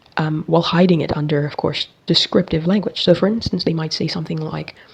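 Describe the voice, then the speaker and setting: A woman talks at a very fast pace in a fairly low voice with ordinary pitch variation. Noticeable background noise runs behind her. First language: not English. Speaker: philosophy video creator. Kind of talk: casual monologue on philosophy. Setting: bathroom, recording alone.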